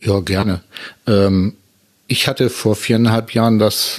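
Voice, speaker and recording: A man speaks in a plain, everyday voice, pitched fairly low, with fairly even intonation. The recording is very clean, with a silent background. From northern Germany, Hamburg area. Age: 50s. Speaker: podcaster, wheelchair user. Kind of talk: casual chat.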